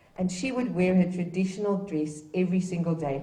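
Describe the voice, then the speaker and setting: A woman with a South African accent speaks at a medium pitch and a fairly quick pace, with audible room echo and noticeable background noise. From Namibia, Gobabis. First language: Afrikaans. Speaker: dignitary speaker at a heritage event. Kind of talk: ceremonial speech. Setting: public event with live audience.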